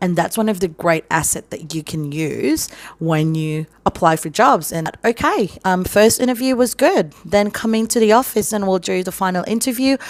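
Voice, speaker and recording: A woman with an American accent speaks at a moderate pace and medium pitch, with lively intonation and hardly any pauses. There is noticeable background noise. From Philippines. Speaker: vlogger, call centre worker. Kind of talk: advice vlog. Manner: casual, conversational.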